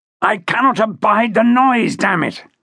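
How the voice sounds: In a put-on character voice, a man speaks at a fairly slow pace with a high pitch, lively intonation, vocal fry, a bright, sharp tone and a slightly husky edge.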